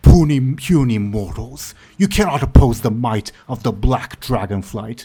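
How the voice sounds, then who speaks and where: Shouting in a put-on character voice, a man speaks at medium pitch and a moderate pace. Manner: yelling, pompous, menacing.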